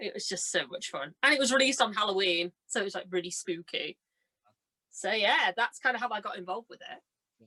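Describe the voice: With a dry, close sound and no echo, a woman speaks at a medium pitch in a bright, sharp tone with lively intonation. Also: fairly quick pace.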